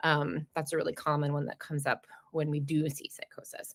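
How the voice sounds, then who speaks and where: A woman talks with a New Jersey accent. She keeps a fairly quick pace. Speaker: perinatal mental health clinic director. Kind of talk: educational webinar talk. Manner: fast.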